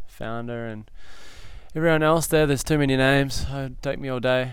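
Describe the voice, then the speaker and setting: A man speaks with fairly even intonation. Audible room echo is present. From New South Wales, Australia. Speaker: big wave surfer. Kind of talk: casual chat. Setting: outdoors on a veranda.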